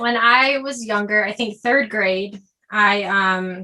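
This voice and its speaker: With an American accent, a woman uses a plain, everyday voice, fairly high in pitch with ordinary pitch variation. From US South, Georgia. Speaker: singer and performer. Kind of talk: casual chat.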